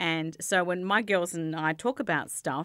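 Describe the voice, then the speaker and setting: A woman's medium-pitched voice in an Australian accent, over a quiet background. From Australia, Adelaide. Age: 40s. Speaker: community radio station manager. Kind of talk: casual interview. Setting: studio. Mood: relaxed, chatty storytelling. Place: studio. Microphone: studio mic.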